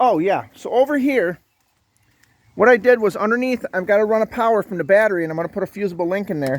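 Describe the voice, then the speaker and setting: A man speaks very fast with lively intonation, the sound dry and close with no echo. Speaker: DIY channel host. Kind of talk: casual DIY tutorial. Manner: casual, filler-heavy.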